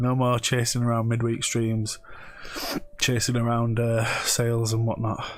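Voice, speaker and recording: A man's medium-pitched voice at a fairly slow pace, with audible room echo and noticeable background noise. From northern England, Bradford and Pontefract, Yorkshire. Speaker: eBay reseller and live streamer. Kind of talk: casual live stream chat. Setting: live stream. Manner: halting, many restarts.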